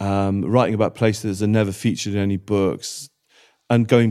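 In a very clean recording with a silent background, a man with a Welsh accent speaks in a dark, mellow tone with fairly even intonation. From Wales. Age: 50s. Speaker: former travel writer and radio presenter. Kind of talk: casual interview conversation. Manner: repetitive stammering restarts.

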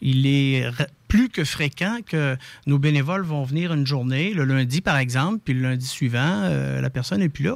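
On a very clean recording with a silent background, a man speaks in an unremarkable speaking voice at a fairly slow pace. His pitch is fairly high, with ordinary pitch variation. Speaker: palliative care volunteer organization spokesperson. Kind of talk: interview.

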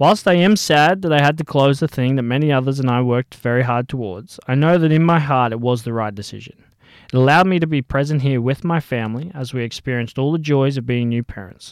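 Very fast speech comes from a man with a fairly high pitch and ordinary pitch variation. The recording is very clean, with a silent background. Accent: Australian. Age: 20s. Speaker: podcast host, personal trainer. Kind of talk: personal monologue.

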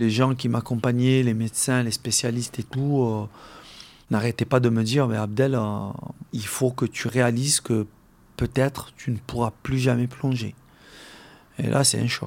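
A man talks at medium pitch and a fairly slow pace, with long, frequent pauses. His intonation is monotone and flat. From Algeria, Algiers area. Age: 40s. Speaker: freediving champion. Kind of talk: interview testimony. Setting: at his home. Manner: halting.

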